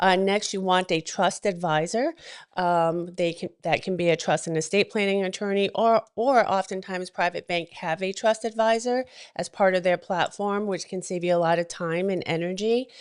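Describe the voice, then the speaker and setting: A woman at medium pitch and a moderate pace against a quiet background. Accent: New England. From New England. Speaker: wealth advisor. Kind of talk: talk show guest presentation. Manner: frequent fillers.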